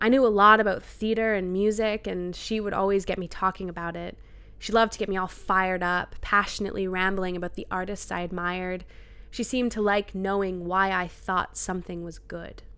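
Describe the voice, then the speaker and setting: Bright, sharp tone marks this woman's medium-pitched voice with a Maritime Canadian accent. Her intonation is monotone and flat at a fairly quick pace. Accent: Canadian (Maritimes). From New Brunswick, Canada. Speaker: personal essayist. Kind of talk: reading aloud.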